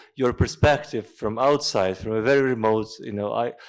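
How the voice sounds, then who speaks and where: In a very clean recording with a silent background, a man speaks with a Russian accent and ordinary pitch variation. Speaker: lecture moderator. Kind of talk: closing remarks at a lecture.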